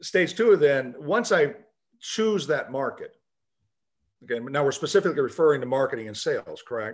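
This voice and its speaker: Using very wide pitch swings, a man speaks at a moderate pace. He leaves long, frequent pauses. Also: quiet background. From US, Puerto Rican father and Kentucky mother. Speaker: business founder, author and speaker; speaker. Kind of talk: video call interview. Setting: video call. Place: office. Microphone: video call.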